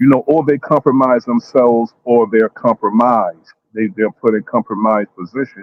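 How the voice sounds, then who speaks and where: A man talks at a moderate pace. His is an ordinary speaking voice, pitched in the middle range. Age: 50s. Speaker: panelist. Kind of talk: heated debate.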